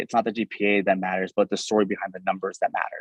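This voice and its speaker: In dry, close sound with no echo, a man talks very fast at a fairly low pitch. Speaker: pre-med workshop presenter. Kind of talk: workshop presentation.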